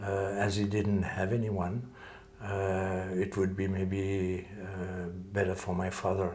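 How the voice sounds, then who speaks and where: Audible room echo surrounds a man's somewhat breathy voice. He speaks very slowly at a fairly low pitch. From French-speaking Switzerland, Lausanne area. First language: French. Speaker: calligrapher and martial arts teacher. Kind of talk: interview. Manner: hesitant, many filler sounds.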